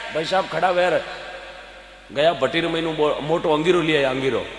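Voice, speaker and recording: With noticeable background noise and audible room echo, a man talks at a high pitch. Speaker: folk comedian and devotional speaker. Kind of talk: stage comedy storytelling with devotional appeal. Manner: animated.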